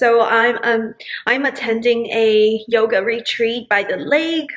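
At a very slow pace, a woman talks with ordinary pitch variation against a quiet background. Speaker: vlogger. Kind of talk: casual vlog chat. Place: kitchen. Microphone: phone near.

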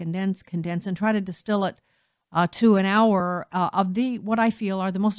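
Someone with an American accent talks at a fairly quick pace with fairly even intonation. The background is quiet. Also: woman. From United States. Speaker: talk radio host. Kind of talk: radio talk show monologue. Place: studio.

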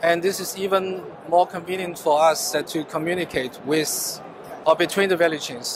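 Speaking at a moderate pace in a Chinese accent, a man with a high voice keeps his intonation fairly even, the sound dry with no echo and noticeable background noise behind him. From China. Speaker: business development manager at chemical company. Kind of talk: trade show interview. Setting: exhibition booth at trade fair. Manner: halting, with fillers and repetitions. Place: hall. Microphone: handheld.

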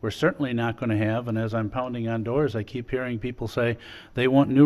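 A man speaks at a fairly quick pace. He has a normal speaking voice, medium in pitch. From Wisconsin. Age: 50s. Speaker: mayor chairing city council. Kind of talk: council meeting chairing. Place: meeting room. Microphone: podium.

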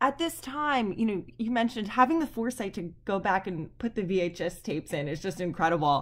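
A woman's medium-pitched voice at a fairly quick pace with hardly any pauses and very wide pitch swings, on a very clean recording with a silent background. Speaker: history professor. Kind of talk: oral history interview.

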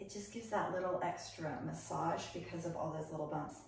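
In a room with audible echo, a woman speaks fairly quickly with a fairly low pitch. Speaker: fitness instructor. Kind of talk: exercise instruction. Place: home room. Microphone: camera far.

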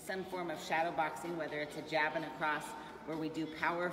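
A woman speaks at a very deep, low pitch over noticeable background noise. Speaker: fitness coach. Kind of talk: live class instructions. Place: gym. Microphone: camera far.

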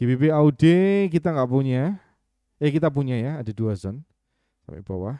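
In a dry sound with no echo and a quiet background, a man speaks at a fairly quick pace with lively intonation and a dark, mellow tone. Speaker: trading mentor. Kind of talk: live webinar tutorial. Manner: halting, stumbling over words; casual, thinking aloud. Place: home room.

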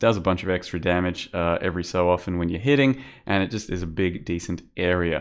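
A man with a very deep, low pitch at a fairly quick pace, over a quiet background. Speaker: gaming youtuber. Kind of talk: gameplay commentary. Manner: casual with fillers. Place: home room.

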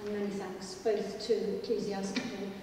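A woman's monotone, flat delivery amid noticeable background noise and strong room echo. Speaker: heritage lobby organiser. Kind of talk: opening remarks. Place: hall.

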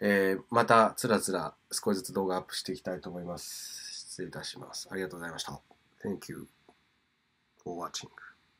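A man's very deep, low voice at a fairly quick pace, with fairly even intonation and big swings in loudness. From Tokyo, Japan. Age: 30s. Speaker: English teacher and DJ; English teacher. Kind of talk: talking-head video monologue; lecture. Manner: casual with many fillers. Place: home room. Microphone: phone near.

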